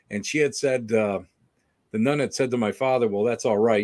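A man with an American accent and a normal speaking voice talks at a fairly quick pace, medium-pitched with ordinary pitch variation. The recording is very clean, with a silent background. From Western New York. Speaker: paranormal investigator and author. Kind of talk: casual interview chat.

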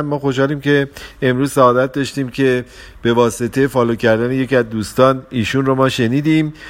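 Speaking at a fairly quick pace, a man with an unremarkable speaking voice keeps a medium pitch and fairly even intonation. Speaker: podcast host on relationships. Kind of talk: casual talk.

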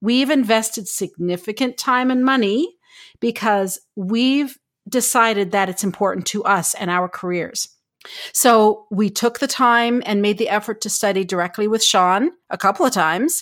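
On a very clean recording with a silent background, a woman with a fairly high pitch speaks at a moderate pace in an animated tone with ordinary pitch variation. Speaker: podcast co-host editor and writer. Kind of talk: casual roundtable chat. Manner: extroverted, animated.

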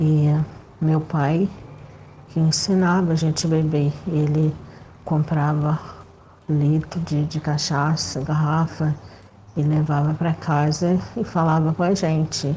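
A woman with a very deep, low pitch speaks at a very slow pace in a monotone, flat delivery broken by long, frequent pauses. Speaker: listener sending voice message. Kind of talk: testimony. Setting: recorded voice message.

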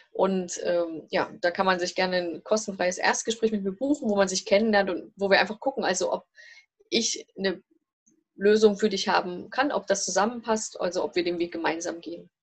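The speaker's pitch varies in an ordinary way. The pace is moderate. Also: woman, medium pitch for a woman. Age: 40s. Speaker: family and career coach. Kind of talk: interview. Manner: hesitant, many filler sounds.

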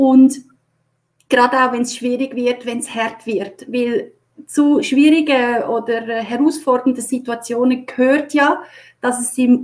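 In a Swiss accent, a woman speaks with a high pitch and fairly even intonation. Her pace is very slow. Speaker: HR consultant and leadership coach. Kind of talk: live-stream interview.

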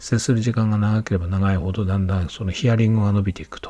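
Somewhat breathy and dark, mellow in tone, a man speaks at a fairly low pitch and a fairly quick pace with fairly even intonation. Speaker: podcaster. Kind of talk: solo monologue. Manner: halting, many fillers.

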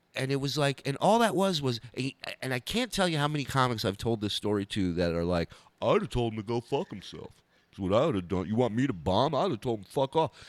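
A man with an American accent talks at a very fast pace and medium pitch, making very wide pitch swings. The sound is dry and close with no echo. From Israel, then Los Angeles. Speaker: comedian and former radio show regular. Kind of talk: casual interview chat. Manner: animated storytelling.

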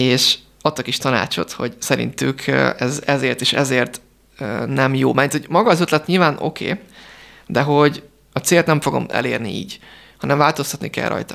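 A man speaks at a moderate pace with vocal fry and ordinary pitch variation. His speech has long, frequent pauses. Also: fairly high pitch for a man. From Hungary. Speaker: entrepreneur. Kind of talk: radio interview. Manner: halting.

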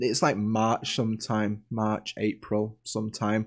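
On a very clean recording with a silent background, a man speaks at a fairly slow pace in a plain, everyday voice. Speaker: podcast host. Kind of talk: casual chat podcast. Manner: casual, chatty, jokey.

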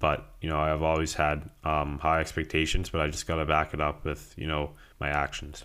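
Monotone, flat intonation at a moderate pace, in a Canadian accent, with a bright, sharp tone on a very clean recording with a silent background. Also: man, very deep, low pitch for a man. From Ontario, Canada (Greater Toronto Area). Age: 20s. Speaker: professional hockey player. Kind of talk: interview. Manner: halting, many fillers.

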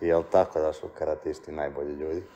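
The man here speaks at a fairly quick pace. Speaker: podcast host. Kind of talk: casual interview.

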